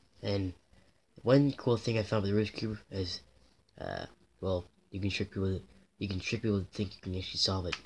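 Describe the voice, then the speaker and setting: The speech is quiet and fairly quick, with long, frequent pauses. Light background noise is present. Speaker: toy unboxing vlogger. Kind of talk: casual unboxing vlog. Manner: repetitive, halting with fillers. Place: home room.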